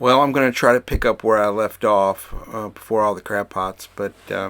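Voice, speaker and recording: A man's fairly low, mumbling voice at a moderate pace with ordinary pitch variation and noticeable background noise. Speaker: boat cruising vlogger. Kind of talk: casual vlog narration. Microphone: new microphone.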